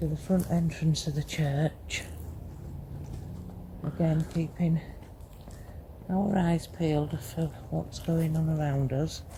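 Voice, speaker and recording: Quiet, very slow speech broken by long, frequent pauses. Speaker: paranormal investigator. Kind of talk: ghost hunt walkthrough narration. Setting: outdoors in a graveyard at night. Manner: quiet, hushed; slow, measured.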